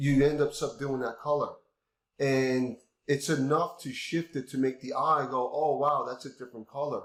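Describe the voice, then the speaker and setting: A man in a normal speaking voice talks at a moderate pace, with a fairly high pitch and fairly even intonation. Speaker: concrete artist and instructor. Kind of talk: tutorial.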